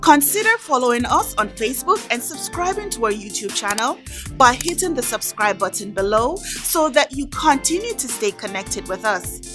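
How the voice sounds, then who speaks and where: Clear background music under a fairly slow pace. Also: woman. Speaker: church announcer. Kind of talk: church announcements. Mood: warm and friendly. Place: stage.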